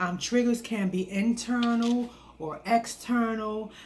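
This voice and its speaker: A soft-spoken woman talks with fairly even intonation. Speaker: wellness vlogger. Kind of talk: casual talk to camera. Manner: hesitant, many fillers.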